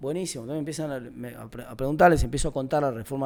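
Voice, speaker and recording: A man with an Argentine accent talks at a very fast pace in a dark, mellow tone, with a fairly high pitch and ordinary pitch variation. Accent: Rioplatense Argentine Spanish. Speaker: national congressman. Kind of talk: interview. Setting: student podcast interview. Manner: fast, many repetitions and self-corrections; animated.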